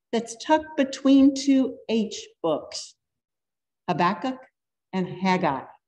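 A woman with an American accent talks at a very slow pace in a dark, mellow, somewhat breathy tone, her intonation lively against a quiet background. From US South. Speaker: pastor. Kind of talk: sermon. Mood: warm, earnest. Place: church. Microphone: podium.

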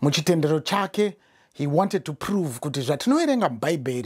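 The background is quiet. A man talks at a very fast pace with lively intonation. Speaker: preacher. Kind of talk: sermon. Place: studio.

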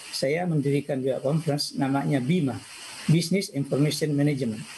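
A man talks at a fairly quick pace with ordinary pitch variation, over light background noise. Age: 60s. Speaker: information systems professor. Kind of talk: personal life talk. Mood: calm, reflective. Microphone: video call.

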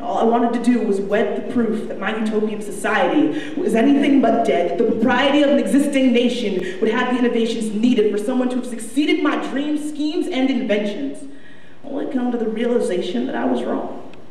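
With hardly any pauses, a woman talks at a fairly quick pace in a high pitch with ordinary pitch variation, and room echo is audible. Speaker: spoken word poet. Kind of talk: spoken word poetry performance. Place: stage.

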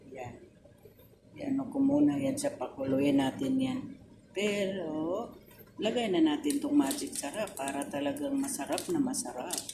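A woman at medium pitch talks at a moderate pace with very wide pitch swings. Room echo is audible, and there is noticeable background noise. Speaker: vlogger, overseas worker. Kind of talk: cooking vlog. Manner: halting, stammering.

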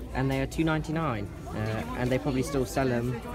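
A man at a fairly quick pace, with clear music in the background. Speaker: vlogger. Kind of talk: casual vlog chat. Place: shop. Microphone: phone near.

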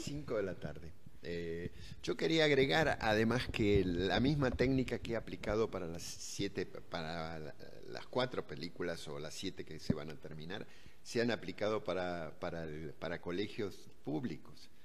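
A man's very deep, low voice at a fairly slow pace, with lively intonation. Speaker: interviewee. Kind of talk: interview answer. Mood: earnest personal storytelling. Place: garden. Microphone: handheld.

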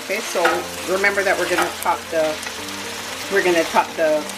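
Moderate-paced speech under loud background noise. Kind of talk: tutorial. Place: kitchen. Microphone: phone near.

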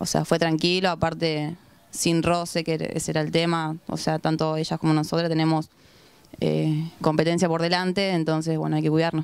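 A woman speaks at a moderate pace in a very deep, low pitch, with a flat, monotone delivery. The sound is dry with no echo, and the background is quiet. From Rosario, Argentina; Argentina. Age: 20s. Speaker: women's football goalkeeper. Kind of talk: post-match interview. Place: open country. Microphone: handheld.

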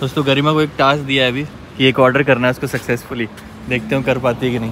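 A man talks at a fast pace with little pitch movement. Faint background noise can be heard. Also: medium pitch for a man, fairly bright tone.

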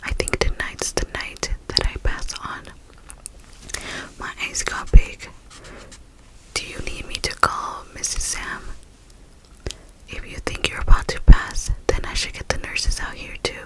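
A woman whispering at a fairly slow pace, with big swings in loudness and long, frequent pauses. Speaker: storyteller. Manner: soft hushed reading into close mic. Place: home room. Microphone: studio mic.

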